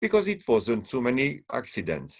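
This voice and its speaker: A man with a non-native accent speaks at a fairly slow pace, with vocal fry and very wide pitch swings. The background is quiet. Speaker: string quartet musician and teacher. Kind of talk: panel discussion. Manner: halting; animated.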